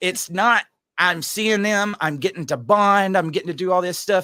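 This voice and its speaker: A man's raised, projected voice, high in pitch and bright and sharp in tone, at a moderate pace in a very clean recording with a silent background. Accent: Georgia. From Georgia, US South. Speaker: podcast host, single dad. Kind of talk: casual chat.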